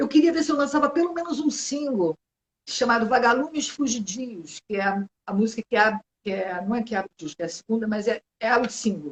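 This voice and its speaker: A woman talks with very wide pitch swings from a fairly high starting pitch. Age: 60s. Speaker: singer-songwriter. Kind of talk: interview. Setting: video call.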